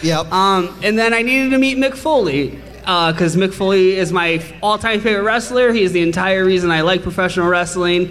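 Over noticeable background noise, a man speaks at a fairly quick pace in a high voice with ordinary pitch variation and very even loudness. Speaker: wrestling podcaster guest. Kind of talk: casual chat, comedic banter.

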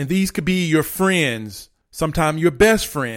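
A man speaks at a moderate pace in a high voice with lively intonation, on a very clean recording with a silent background. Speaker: motivational podcast host and coach. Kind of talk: motivational pep talk. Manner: urgent, emphatic, coach-like; direct, commanding, repetitive.

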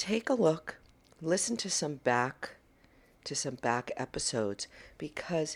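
A woman speaks at a very slow pace. Her very deep, low pitch swings very widely. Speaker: wellness podcast host. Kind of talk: solo motivational talk. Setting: on the road, traveling. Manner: passionate, animated.

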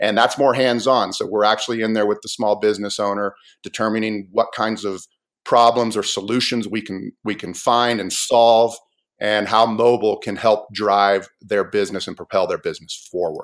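Talking at a moderate pace, a man keeps a medium pitch in a monotone, flat intonation. The recording is very clean, with a silent background. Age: 40s. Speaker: app developer and small business consultant. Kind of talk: interview. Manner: halting.

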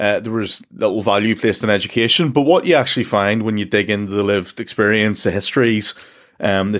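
A man with a fairly low pitch talks at a fairly quick clip. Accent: Northern Irish. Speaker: podcast host. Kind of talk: podcast interview. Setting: small room at home, remote recording.

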